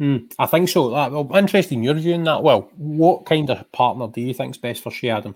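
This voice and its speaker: A man's fairly high voice in a Scottish accent, fairly quick with hardly any pauses and ordinary pitch variation. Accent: Scottish (Ayrshire). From Scotland, Ayrshire. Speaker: podcast host, sports journalist. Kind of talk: casual chat. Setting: video call.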